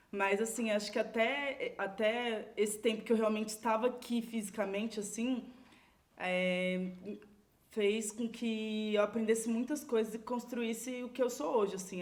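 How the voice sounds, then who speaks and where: This is an ordinary speaking voice at a moderate pace. Its intonation stays fairly even. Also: woman. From Brazil, São Paulo (Água Espraiada community). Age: 30s. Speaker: community leader. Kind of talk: podcast interview. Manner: casual, filler-heavy.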